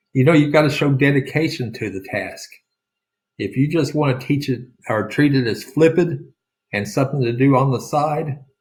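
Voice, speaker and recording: A man speaks with an Oklahoma accent. His voice is somewhat breathy. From rural Oklahoma. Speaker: real estate sales coach. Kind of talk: sales pitch.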